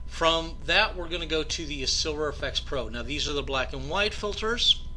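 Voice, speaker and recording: Audible room echo surrounds talking delivered at a moderate pace. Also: man. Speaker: photography tutorial presenter. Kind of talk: tutorial. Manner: casual with fillers.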